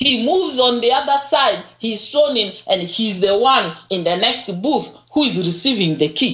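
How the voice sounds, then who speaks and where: A woman talks at a fairly slow pace with hardly any pauses. Her fairly high pitch moves in very wide swings. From Uganda. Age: 50s. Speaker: political commentator. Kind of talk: radio interview. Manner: animated.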